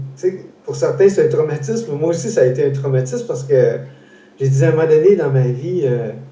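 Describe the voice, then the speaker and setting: The voice carries a Quebec accent, with audible room echo and noticeable background noise. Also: man. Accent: Québécois French. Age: 60s. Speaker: interview host, foundation founder. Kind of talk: casual interview. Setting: live stream. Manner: halting, many repetitions.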